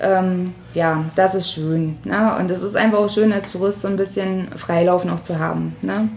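A woman talks at a moderate pace with a medium pitch and ordinary pitch variation. Background noise is noticeable. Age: 30s. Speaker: florist. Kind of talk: interview. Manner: hesitant with many fillers.

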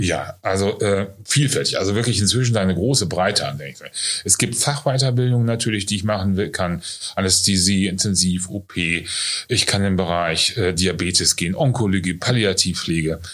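This man has a normal speaking voice. His pitch is fairly low, with ordinary variation. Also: moderate pace. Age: 50s. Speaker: nursing school director. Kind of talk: interview. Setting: on location at training centre.

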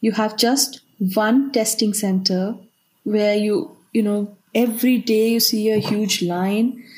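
A woman speaks very slowly at a fairly high pitch, somewhat breathy. Her loudness stays very even and her intonation fairly even. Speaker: aid organisation worker. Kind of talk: interview. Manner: halting, searching for words.

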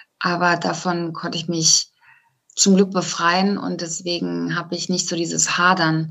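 A woman's fairly low, monotone voice, flat in intonation and fairly slow in pace. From East Westphalia, Germany. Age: 40s. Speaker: voice-over speaker with terminal cancer. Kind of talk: interview. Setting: remote call.

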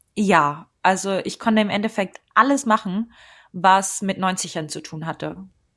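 Speaking with an unremarkable speaking voice at a medium pitch, a woman goes at a fairly slow pace with ordinary pitch variation and big swings in loudness, captured in a very clean recording with a silent background. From Germany. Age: 20s. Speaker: freelance journalist. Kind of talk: interview.

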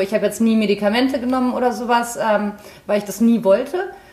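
A woman talks in a fairly even tone while noticeable background noise fills the recording. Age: 30s. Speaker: TV actress. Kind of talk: casual chat.

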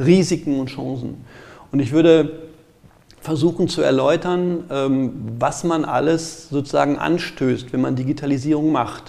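A man speaks at a fairly slow pace. His pitch is fairly high and his intonation fairly even. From Ruhr area, Germany (Gelsenkirchen). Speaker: IT security auditor. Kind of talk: interview. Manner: halting.

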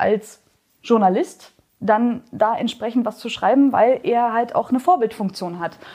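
Her tone dark and mellow, a woman at fairly high pitch speaks at a moderate pace with lively intonation. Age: 30s. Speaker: whisky educator. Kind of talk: interview. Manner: animated.

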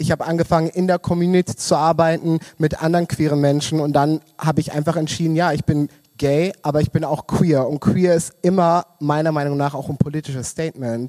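A man with a fairly high pitch speaks at a fairly quick pace in monotone, flat intonation, with a dry, close sound and no echo. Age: 20s. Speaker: queer community worker. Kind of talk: casual chat. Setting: live-streamed club event.

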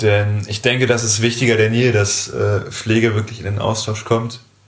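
This man's pitch is fairly low, and his intonation is monotone and flat. He speaks at a moderate pace. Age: 20s. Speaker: nursing trainee and podcast co-host. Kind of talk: casual chat.

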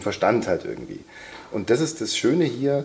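The man talks very fast, and his pitch moves in an ordinary way. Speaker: voice-over artist and sound designer. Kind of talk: casual chat.

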